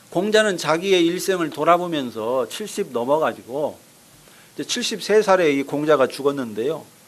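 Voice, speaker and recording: Over noticeable background noise, a man with a fairly high voice talks at a fairly slow pace. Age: 60s. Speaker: pastor. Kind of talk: sermon.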